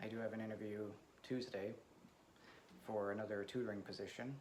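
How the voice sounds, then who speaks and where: Over noticeable background noise and audible room echo, a man talks very fast with fairly even intonation. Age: 30s. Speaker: vlogger. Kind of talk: casual personal vlog. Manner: soft-spoken; hesitant, many fillers.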